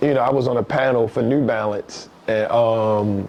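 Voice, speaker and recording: Over noticeable background noise, a man with a Baltimore accent speaks at medium pitch and a moderate pace. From East Baltimore, Maryland. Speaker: author and professor. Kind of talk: casual interview chat. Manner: animated storytelling.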